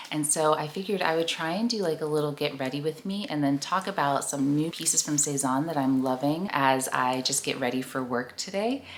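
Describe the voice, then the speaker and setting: The speaker talks at a fairly quick pace with hardly any pauses and ordinary pitch variation. Noticeable background noise is present. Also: woman, very deep, low pitch for a woman. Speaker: lifestyle YouTuber. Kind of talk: casual chat.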